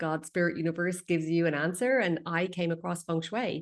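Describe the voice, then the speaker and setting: A woman's fairly low voice with an Irish accent at a moderate pace, over a quiet background. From Ireland. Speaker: feng shui expert. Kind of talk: interview.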